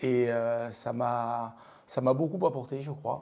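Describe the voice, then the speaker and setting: Very slowly, a man speaks in a dark, mellow tone. His pitch varies in an ordinary way. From southern France, Lozère/Cévennes. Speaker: company CEO. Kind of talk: interview. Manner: halting, many hesitations.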